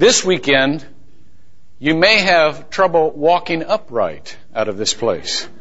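Against noticeable background noise, a man with a fairly high pitch talks at a very slow pace. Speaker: pastor. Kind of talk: sermon. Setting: church.

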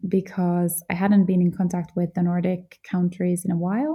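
A woman with a Finnish accent speaks at a moderate pace and medium pitch in a dark, mellow, somewhat breathy tone, on a very clean recording with a silent background. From central Finland (Jyväskylä). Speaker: podcast host, beauty awards founder. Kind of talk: solo podcast monologue.

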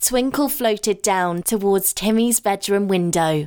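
A woman speaks at a fairly slow pace in a plain, everyday voice with a medium pitch. The recording is very clean, with a silent background. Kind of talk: bedtime story narration. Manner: soft, slow, soothing.

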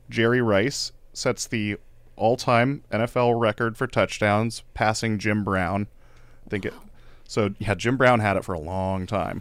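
A man with an ordinary speaking voice at a medium pitch, at a moderate pace. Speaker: podcast co-host. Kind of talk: casual chat.

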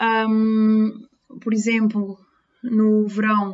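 A woman speaks with an Azorean accent at a fairly high pitch. Her intonation is flat and monotone. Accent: Azorean, noticeable. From Azores, Terceira Island. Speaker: nursing student. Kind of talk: personal testimony.

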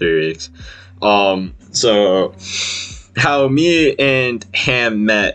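A man speaks at a fairly low pitch with lively intonation while music plays in the background. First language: Vietnamese. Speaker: podcast host. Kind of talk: casual chat. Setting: video call. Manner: casual, profane and laughing.

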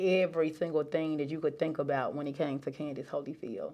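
A woman's unremarkable speaking voice, fairly low in pitch. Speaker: entrepreneur, business coach. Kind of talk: casual interview chat.

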